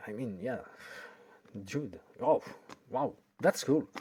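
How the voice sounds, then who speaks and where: On a very clean recording with a silent background, someone speaks with a French accent. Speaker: video tech hobbyist YouTuber. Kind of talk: tutorial. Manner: halting, with hesitations.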